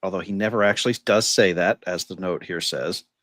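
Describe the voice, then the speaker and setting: A man with a fairly low voice talks at a moderate pace. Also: dry, close sound with no echo, very clean recording, silent background. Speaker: podcast co-host. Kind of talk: casual discussion.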